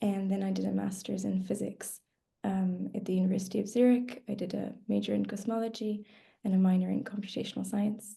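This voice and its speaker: In a flat monotone, a woman speaks with a dark, mellow, somewhat breathy tone. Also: medium pitch for a woman, fairly quick pace. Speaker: PhD student in cosmology. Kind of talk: webinar talk.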